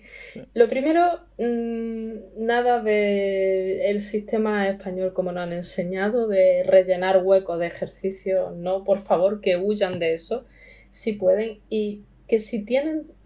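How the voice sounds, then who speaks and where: Very slowly, a woman with a medium pitch talks, her voice varying in a normal way. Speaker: language learner. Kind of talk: interview.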